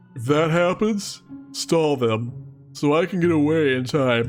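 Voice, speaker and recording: Clear music sits in the background as a man talks at a fairly slow pace. He uses a put-on character voice pitched fairly high. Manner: yawning.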